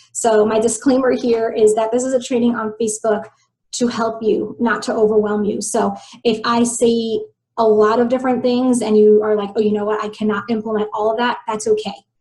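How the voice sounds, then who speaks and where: Fairly high in pitch and somewhat breathy, a woman's voice has a dark, mellow tone. She speaks at a fairly quick pace with monotone, flat intonation. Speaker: health coach and business trainer. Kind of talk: online training webinar. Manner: fast.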